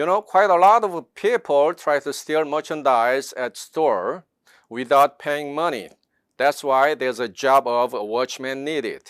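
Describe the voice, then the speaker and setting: A man with a Korean accent at a fairly slow pace and fairly high pitch, in dry, close sound with no echo. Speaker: network marketing distributor. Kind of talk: seminar presentation. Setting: online seminar.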